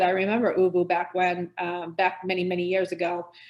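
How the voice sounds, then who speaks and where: A woman speaks in an American accent. Noticeable background noise runs behind her. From US Northeast. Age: old. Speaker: sales director. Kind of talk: webinar presentation. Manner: fast.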